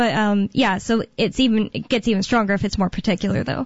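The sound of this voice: This woman talks at a fairly quick pace with a General American accent. Her pitch is medium, with ordinary variation.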